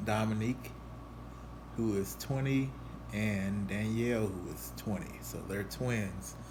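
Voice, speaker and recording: A fairly low-pitched man with very wide pitch swings, a fairly slow pace and long, frequent pauses, plus audible room echo. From Louisville, Kentucky. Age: 40s. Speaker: artist. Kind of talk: casual presentation. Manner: halting, many fillers.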